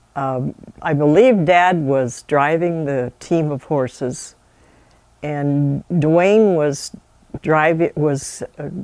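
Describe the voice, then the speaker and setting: A woman's very deep, low-pitched voice with an American accent, ordinary pitch variation and a very slow pace. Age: 80s+. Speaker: family elder interviewee. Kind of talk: oral history interview.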